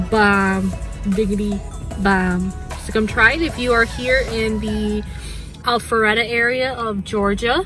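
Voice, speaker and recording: A woman speaks at a fairly slow pace. Clear music plays in the background, and the sound is dry with no echo. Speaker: vlogger. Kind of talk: casual vlog chat. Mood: upbeat, satisfied after dinner. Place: car. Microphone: phone near.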